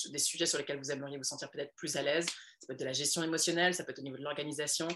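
This woman's voice has a very deep, low pitch and a bright, sharp tone. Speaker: entrepreneur and women's coach. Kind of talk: casual interview. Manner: energetic.

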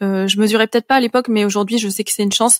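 A woman's fairly high, monotone voice with flat intonation in a dry, close sound with no echo. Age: 30s. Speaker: patient advocate. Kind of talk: interview. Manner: halting.

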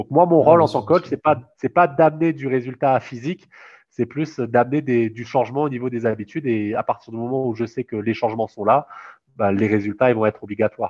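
At a fairly quick pace, a man speaks with a medium pitch and ordinary pitch variation. The sound is dry and close with no echo, over a quiet background. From Réunion. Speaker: sports coach. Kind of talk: interview. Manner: halting.

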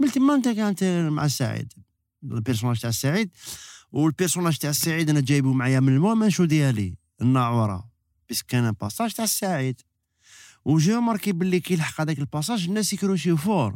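A man with an Algiers accent talks at a fairly quick pace in a fairly high pitch, his voice swinging very widely in pitch over a very clean recording with a silent background. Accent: Algiers Algerian Arabic with French. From Algeria, Algiers. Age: 50s. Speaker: actor. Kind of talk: casual chat. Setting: studio.

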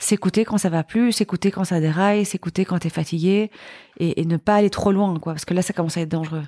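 In a Belgian accent, a woman speaks at a fairly quick pace with fairly even intonation and a dark, mellow tone, the sound dry and close with no echo on a very clean recording with a silent background. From Belgium. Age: 40s. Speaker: entrepreneur. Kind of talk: casual chat.

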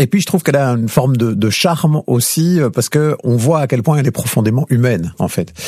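A man talks at a fairly quick pace and medium pitch with lively intonation, hardly any pauses and very even loudness, the sound dry and close with no echo despite noticeable background noise. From Belgium, Liège province (Lierneux). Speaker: radio journalist. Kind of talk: interview conversation. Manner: clear, didactic.

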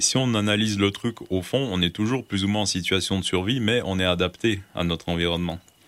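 A man speaks with a fairly low pitch, barely pausing and keeping his volume very even throughout. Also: ordinary pitch variation. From Quebec, Gaspésie. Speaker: survival instructor and writer. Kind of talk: casual interview. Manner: hesitant, with frequent fillers.

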